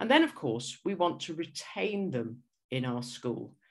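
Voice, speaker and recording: Lively intonation comes in a southern British accent at a fairly slow pace. Audible room echo surrounds the voice. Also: woman. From England. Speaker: school leadership consultant, former headteacher. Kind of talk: conference presentation. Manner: hesitant with repetitions.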